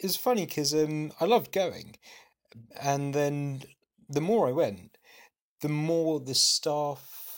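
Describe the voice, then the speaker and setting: A man speaks very slowly with a London accent, his fairly high pitch moving with ordinary variation, long pauses coming often, on a very clean recording with a silent background. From North London, Gujarati Indian family. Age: young. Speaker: cancer research technician. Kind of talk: casual chat. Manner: sarcastic-sounding.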